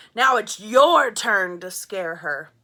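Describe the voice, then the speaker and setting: A woman bellows and growls loudly in a put-on character voice. Her pitch sits at a medium level. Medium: read story.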